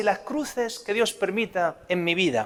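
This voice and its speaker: The man's pace is fairly slow. He talks in a Spanish accent. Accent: Spanish (Spain). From Spain. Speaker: priest. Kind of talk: religious talk.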